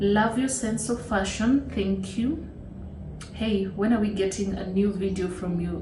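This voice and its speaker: A woman with a Kenyan accent speaks at a fairly slow pace and a medium pitch, with ordinary pitch variation. Audible room echo and noticeable background noise surround her voice. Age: 30s. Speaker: YouTuber, lawyer. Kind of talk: casual Q&A vlog.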